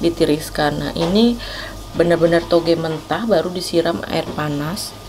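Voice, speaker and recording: Noticeable background noise surrounds a woman speaking at a fairly slow pace. Her pitch variation is ordinary. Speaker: food vlogger. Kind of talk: casual vlog chat. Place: cafe. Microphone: phone near.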